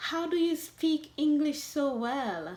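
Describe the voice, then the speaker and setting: Speaking at a very slow pace, a woman talks with a Jamaican accent. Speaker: vlogger. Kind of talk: talk to camera.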